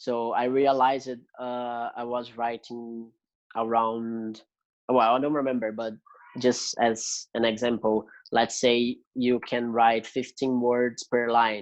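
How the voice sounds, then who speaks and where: A man with a Brazilian Portuguese accent, medium pitch, very slow pace, and monotone, flat intonation. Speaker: music student. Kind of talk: interview conversation. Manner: hesitant, many fillers.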